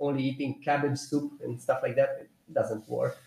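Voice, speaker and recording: With a Romanian accent, a man talks at a moderate pace. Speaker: personal trainer and nutrition technician. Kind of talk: casual interview. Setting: live stream.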